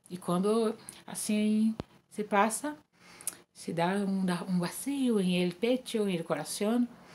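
A woman speaks at a very slow pace with ordinary pitch variation. Her speech has long, frequent pauses. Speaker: church member giving testimony; guest. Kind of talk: testimony. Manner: halting. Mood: calm, emotional. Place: home room. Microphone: webcam.

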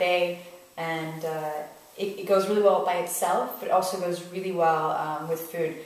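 A woman at a moderate pace with fairly even intonation, audible room echo around her. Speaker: visiting wine host. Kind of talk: wine tasting commentary. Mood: relaxed, friendly. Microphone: camera far.

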